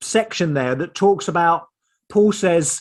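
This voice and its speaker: A man with an Essex accent speaks at a high pitch. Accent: Estuary Essex. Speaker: theologian and author. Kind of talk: online seminar talk. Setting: video call.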